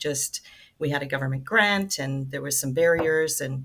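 A woman with vocal fry speaks at a moderate pace in a very deep, low pitch. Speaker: nonprofit ministry director. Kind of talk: casual interview chat.

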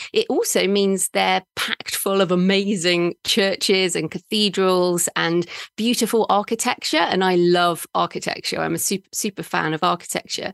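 With an English accent, a woman speaks at a medium pitch and a moderate pace, with fairly even intonation and hardly any pauses. The sound is dry and close with no echo, over a quiet background. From England. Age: middle-aged. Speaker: author and podcaster. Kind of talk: interview conversation.

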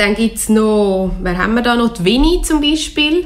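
A woman speaks with a Swiss accent. Her pitch is fairly high. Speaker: literature radio show host. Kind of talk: book discussion. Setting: radio studio.

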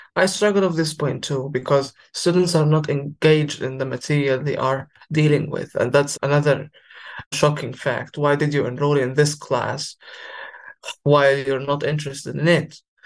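Speaking at a moderate pace with an Arabic accent, a man has a fairly high, somewhat breathy voice and fairly even intonation. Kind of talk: interview.

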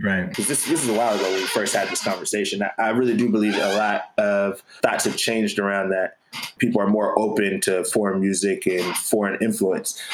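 With music playing in the background, a man talks in a fairly low pitch and fairly even intonation. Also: fairly quick pace. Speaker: hip hop artist and movement co-founder.

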